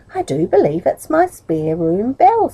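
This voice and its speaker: A woman uses a put-on character voice at a medium pitch and moderate pace. The sound is dry and close, with no echo. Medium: read story. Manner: indignant, scolding.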